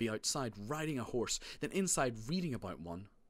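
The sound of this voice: The delivery is an unforced reading voice. Its intonation is lively.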